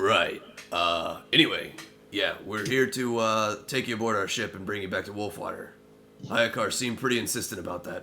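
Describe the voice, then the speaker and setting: A man puts on a raspy character voice at medium pitch. He goes at a moderate pace, with clear background noise behind him. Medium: actual play. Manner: formal, proper.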